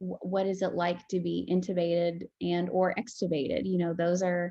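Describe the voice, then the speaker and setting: At a fairly slow pace, a woman speaks in a fairly low pitch with a dark, mellow tone and a monotone, flat intonation. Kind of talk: interview.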